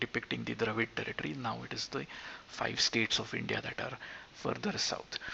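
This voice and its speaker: A man talks with a Marathi accent. Noticeable background noise is present. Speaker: gaming YouTuber. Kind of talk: tutorial. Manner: halting.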